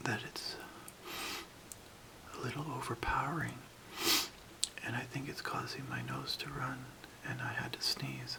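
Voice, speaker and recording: A man whispers at a fairly slow pace with long, frequent pauses. Noticeable background noise sits behind him. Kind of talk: ASMR how-to demonstration. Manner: soft-spoken.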